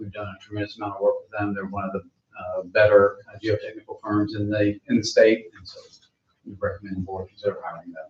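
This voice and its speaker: Talking at a very fast pace, a man lets his loudness swing widely. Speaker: construction project manager. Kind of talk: public meeting presentation. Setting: board meeting room. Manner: hesitant, many fillers.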